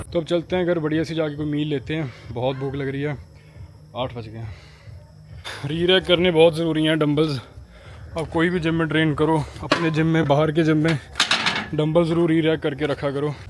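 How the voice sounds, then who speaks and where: A man's fairly high voice at a moderate pace, fairly even in intonation, broken by long, frequent pauses, with music in the background. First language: Punjabi (speaking Hindi). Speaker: travel and fitness vlogger. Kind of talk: casual vlog talk to camera.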